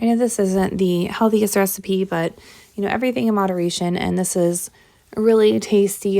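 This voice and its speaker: A woman with a dark, mellow tone and medium pitch speaks at a fairly quick pace with fairly even intonation, in a very clean recording with a silent background. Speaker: home cook. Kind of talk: cooking tutorial. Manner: casual with frequent fillers.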